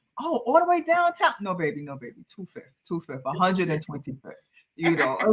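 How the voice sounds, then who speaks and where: In a New York accent, a woman talks at a fairly quick pace in an animated tone with big swings in loudness. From New York City, Harlem. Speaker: podcast co-host. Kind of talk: casual chat.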